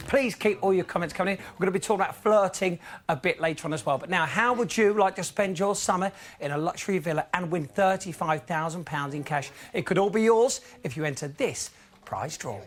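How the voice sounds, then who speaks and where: Fairly quick speech from a man with a British accent, high-pitched with ordinary pitch variation. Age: young. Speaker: TV presenter. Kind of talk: reading out viewer emails.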